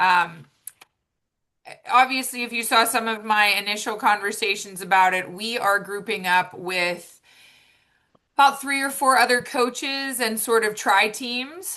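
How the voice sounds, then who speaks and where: A loud, upbeat woman with a bright, sharp tone and fairly high pitch, ordinary pitch variation, a fairly slow pace with long, frequent pauses, and a quiet background. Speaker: triathlon and swim coach. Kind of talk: informational meeting presentation. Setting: video call. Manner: casual, upbeat.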